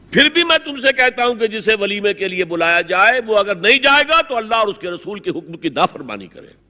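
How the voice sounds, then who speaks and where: A man's high-pitched, raised and projected voice, with very wide pitch swings and big swings in loudness. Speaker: Islamic scholar giving a sermon. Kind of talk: religious lecture. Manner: emphatic, forceful, repetitive for emphasis.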